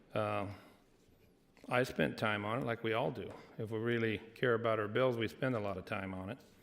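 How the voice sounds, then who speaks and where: A man talks at medium pitch and a moderate pace. His intonation stays fairly even. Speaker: state senator. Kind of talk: legislative floor debate. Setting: legislative chamber. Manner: loud.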